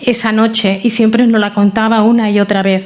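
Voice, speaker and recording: A woman with a Catalan accent speaks at a moderate pace and a fairly high pitch, in a flat monotone. Background noise is noticeable. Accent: non-Andalusian, Catalonia Spanish. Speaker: relative of the honoree, local councillor. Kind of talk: memorial talk, partly read from a prepared text. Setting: hall with about 200 people.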